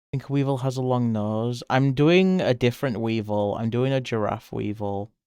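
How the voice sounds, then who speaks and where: A man talks at a moderate pace with a British accent. His pitch is medium, with ordinary variation. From Britain. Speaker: streamer and artist. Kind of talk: casual live-stream chat while drawing. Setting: live stream. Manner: animated.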